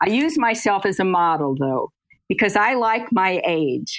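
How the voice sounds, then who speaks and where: In a very clean recording with a silent background, a woman with a Midwestern US accent speaks at a fairly slow pace. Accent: General American, Midwestern. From US Midwest, Kansas City. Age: 80s+. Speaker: lecturer on brain health and aging. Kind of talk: interview.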